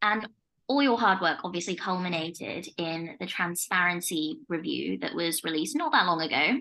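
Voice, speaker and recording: Her voice is fairly low for a woman, bright and sharp in tone, with lively intonation at a moderate pace. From Leicester, England. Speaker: podcast host and family law barrister. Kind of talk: casual interview chat.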